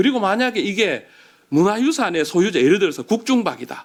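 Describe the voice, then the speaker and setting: A high-pitched man at a fairly quick pace, in a very clean recording with a silent background. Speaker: patent attorney panelist. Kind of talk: policy panel discussion.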